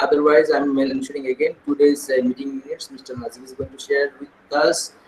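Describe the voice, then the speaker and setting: Fairly brisk male speech against clear background noise. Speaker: school administrator leading teacher training. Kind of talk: online staff meeting. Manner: fast.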